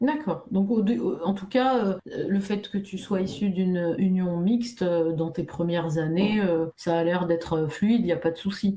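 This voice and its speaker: A woman talks fairly slowly at a medium pitch. Hers is a plain, everyday voice with ordinary pitch variation. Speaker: interviewer. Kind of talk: interview questions.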